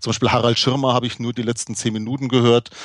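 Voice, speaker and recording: A man speaks at a medium pitch with a slight Franconian accent and fairly even intonation, the sound dry and close with no echo against a quiet background. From Franconia, Germany. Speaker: podcast co-host. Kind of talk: casual chat. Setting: live recording at a conference.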